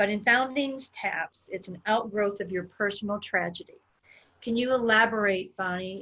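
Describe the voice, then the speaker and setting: A woman talks at a fairly slow pace in a medium pitch. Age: 60s. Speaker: interviewer. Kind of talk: interview. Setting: live stream. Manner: animated.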